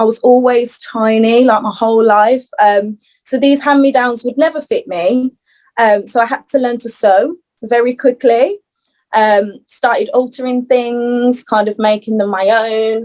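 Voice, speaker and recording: With a Birmingham accent, a woman speaks at a fairly slow pace in a high pitch, her intonation fairly even. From Birmingham, England. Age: 20s. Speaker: fashion stylist and upcycling brand owner. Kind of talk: podcast interview. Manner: hesitant, many fillers.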